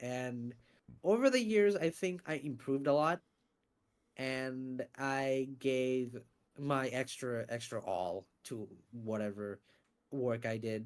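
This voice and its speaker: Pausing often and at length, a man speaks at a medium pitch with lively intonation. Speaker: voice actor and YouTuber. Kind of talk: interview. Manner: lots of inflection; animated.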